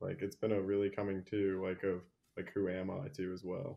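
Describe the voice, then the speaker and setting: Fairly even intonation and a moderate pace from a man whose pitch is very deep and low. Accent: American. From Virginia. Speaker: activist and law student. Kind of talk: casual interview.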